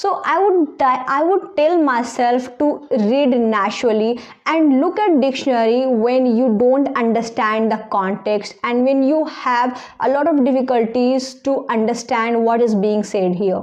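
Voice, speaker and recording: Speaking in a strong Indian accent, a woman uses a high pitch and lively intonation at a fairly slow pace with hardly any pauses. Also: very even loudness. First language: Indian language (not English). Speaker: English learning YouTuber. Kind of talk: casual advice talk to camera.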